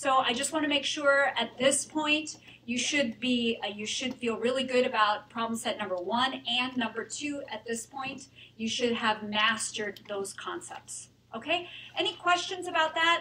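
Over light background noise, a woman speaks in a raised, projected voice. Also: lively intonation, moderate pace. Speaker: university lecturer. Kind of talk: lecture announcements. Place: hall.

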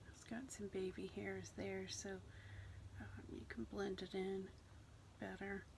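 A soft-spoken woman talks at a very slow pace. Light background noise is audible. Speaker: hair product reviewer. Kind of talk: casual product review to camera. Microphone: phone near.

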